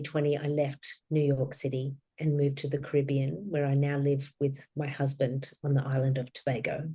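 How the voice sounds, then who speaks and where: Her very deep, low voice has a dark, mellow tone, and this woman speaks with an Australian accent. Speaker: author and grief guide. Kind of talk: interview.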